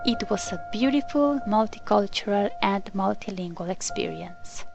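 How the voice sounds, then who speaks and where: A woman's voice with very wide pitch swings, audible room echo and music in the background. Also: medium pitch for a woman, moderate pace. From Colombia. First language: Spanish. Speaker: language teacher. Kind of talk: scripted narration.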